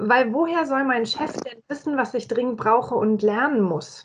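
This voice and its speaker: A woman with a high-pitched voice at a fairly slow pace. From Franconia, Germany (Nuremberg). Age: 40s. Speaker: corporate employee and agile learning method advocate. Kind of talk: casual interview.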